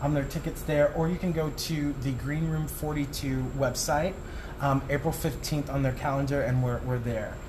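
A man with an American accent talks at a moderate pace, with fairly even intonation and very even loudness. Noticeable background noise and audible room echo are present. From Arizona (Tucson). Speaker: entertainment producer and performer. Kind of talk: casual interview. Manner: hesitant, many fillers.

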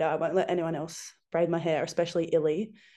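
A woman talks at a fairly quick pace with an Australian accent. Her intonation is fairly even, and the background is quiet. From rural New South Wales, Australia. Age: 20s. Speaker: professional rugby player. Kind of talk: casual interview.

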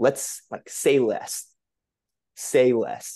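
Here is a man with an American accent and medium pitch. His tone is dark and mellow. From New England, US. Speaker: activist and social entrepreneur. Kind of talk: casual interview.

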